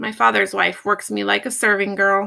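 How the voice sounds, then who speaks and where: A woman puts on a raspy character voice at medium pitch and a moderate pace. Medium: read story.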